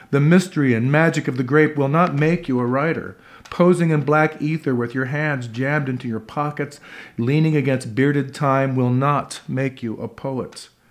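A man's gravelly, theatrical voice at a moderate pace with fairly even intonation. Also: fairly high pitch for a man. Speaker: performance poet and actor. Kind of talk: poem performed. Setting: living room concert with audience. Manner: gritty, rhythmic, theatrical delivery. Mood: wry, sardonic, deliberate. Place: home room.

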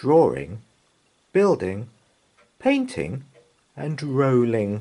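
Slow-paced speech from a man, slightly mellow in tone, with big pitch swings

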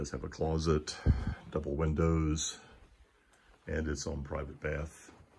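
Over light background noise, a man speaks very slowly in a very deep, low, somewhat breathy voice with monotone, flat intonation. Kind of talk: property walkthrough commentary. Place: home room. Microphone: phone near.

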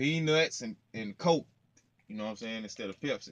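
The voice is a man's. His pace is moderate, and his pitch varies in an ordinary way. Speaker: truck driver vlogger. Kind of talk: casual vlog chat. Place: car. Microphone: phone near.

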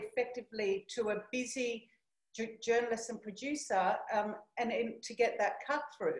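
Ordinary pitch variation amid audible room echo. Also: woman, quiet background. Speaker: keynote speaker. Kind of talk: presentation talk with anecdote. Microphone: video call.

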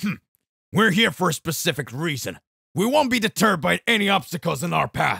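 A man's put-on character voice, high in pitch with very wide pitch swings, at a fairly quick pace in a dry, close sound with no echo. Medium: read story.

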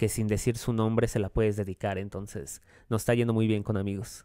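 A man with a fairly low pitch and a dark, mellow tone speaks at a fairly quick pace in a monotone, flat intonation. The sound is dry with no echo, against a quiet background. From Mexico City. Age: 20s. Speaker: singer-songwriter; guest. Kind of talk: radio interview. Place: studio. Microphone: studio mic.

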